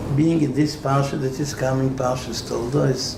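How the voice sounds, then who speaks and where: Moderate-paced speech from a man at medium pitch, with audible room echo and noticeable background noise. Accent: non-native. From Israel. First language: Hebrew. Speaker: rabbi. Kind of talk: Torah lecture.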